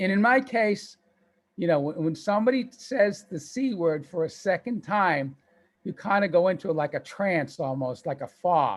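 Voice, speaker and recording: A man with a slight Boston accent speaks at a moderate pace, his voice pitched high for a man and his intonation lively. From Boston, US. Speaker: author and cancer survivor. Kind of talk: interview.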